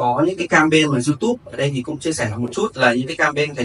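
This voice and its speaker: A man at a very fast pace and a fairly high pitch, with light background noise. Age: 20s. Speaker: student of an online marketing course. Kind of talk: testimony. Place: hall.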